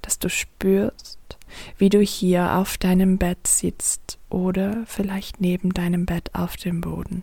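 Somewhat breathy and gentle, a woman's dark, mellow voice moves at a very slow pace with a monotone, flat intonation. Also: medium pitch for a woman. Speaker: coach and yoga teacher. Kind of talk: guided meditation. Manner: slow, soft, calming; gentle, flowing, with long pauses.

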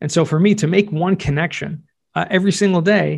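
A man with a Californian accent talks at a fairly quick pace and high pitch. His pitch variation is ordinary, and the background is quiet. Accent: American, Californian. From Southern California. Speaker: real estate tax expert and podcaster. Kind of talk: interview conversation.

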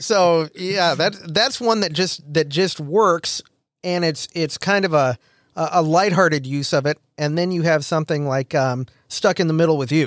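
An American accent from a man with a high pitch at a moderate pace, dry and close with no echo, on a very clean recording with a silent background. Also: ordinary pitch variation. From US Midwest. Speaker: podcast host. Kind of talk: casual chat.

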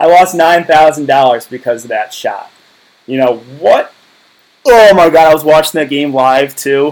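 A man's fairly high-pitched, ordinary speaking voice at a fairly slow pace with ordinary pitch variation. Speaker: daily fantasy sports YouTuber. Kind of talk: casual YouTube video monologue.

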